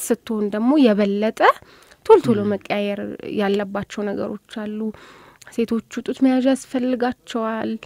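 A plain, everyday voice from a woman, fairly high in pitch with ordinary pitch variation, in dry sound with no echo. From Addis Ababa, Ethiopia. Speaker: volunteer and journalism student. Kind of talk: radio interview. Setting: studio. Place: studio.

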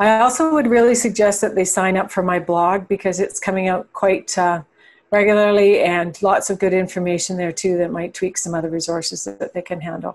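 A woman's pitch varies in an ordinary way as she talks fairly quickly. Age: 60s. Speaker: farm transition coach. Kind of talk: interview. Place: home room. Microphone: video call.

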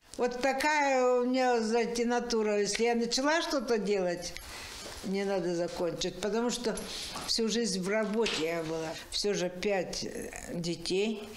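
The speech moves at a fairly slow pace with long, frequent pauses and lively intonation. Noticeable background noise sits behind it. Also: woman, fairly high pitch for a woman. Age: 80s+. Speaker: embroiderer, retiree. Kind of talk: interview answer. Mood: warm, amazed. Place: home room.

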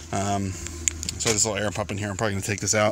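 Against noticeable background noise, a man talks at a fairly low pitch with ordinary pitch variation, the sound dry with no echo. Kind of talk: casual vlog chat. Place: car. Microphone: phone near.

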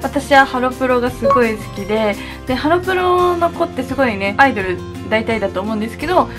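Clear music plays in the background as a woman speaks at a fairly quick pace. Her voice is high-pitched. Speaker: beauty vlogger. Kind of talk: casual vlog chat. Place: home room.

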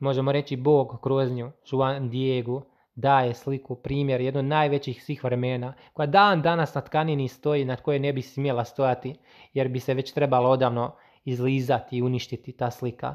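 Flat, monotone intonation runs through speech delivered at a moderate pace. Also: man, medium pitch for a man. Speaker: religious video creator. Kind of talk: religious monologue. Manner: stuttering at times.

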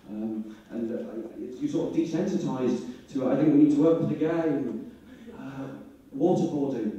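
Strong room echo surrounds a man with a Yorkshire accent who speaks at a moderate pace with a fairly high pitch and lively intonation. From Leeds, northern England; northern England. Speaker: stand-up comedian. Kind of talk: stand-up. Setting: stage with audience. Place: hall. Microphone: handheld.

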